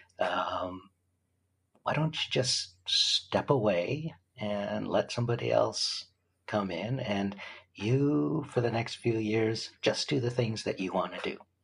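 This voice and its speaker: A man's medium-pitched voice with vocal fry, at a very slow pace with ordinary pitch variation. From Canada. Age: 60s. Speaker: film producer. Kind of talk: interview.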